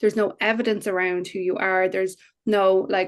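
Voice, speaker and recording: There is a quiet background. A woman speaks with an Irish accent. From Ireland. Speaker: business coach. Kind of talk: interview. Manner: animated.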